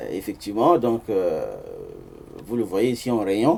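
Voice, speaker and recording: A man at medium pitch speaks with a Central African accent. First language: Sango (speaking French). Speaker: author and amateur linguist, engineer. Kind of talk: book presentation talk with slides. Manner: hesitant, many fillers.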